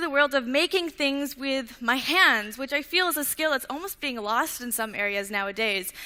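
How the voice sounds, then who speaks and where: A woman speaks in a raised, projected voice with a Canadian accent. Her pitch is high and swings very widely. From Canada, Vancouver Island. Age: young, 18. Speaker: inventor, student speaker. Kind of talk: talk to an audience.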